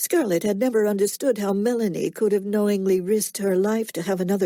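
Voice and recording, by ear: The intonation holds fairly even. This is reading aloud in a natural voice.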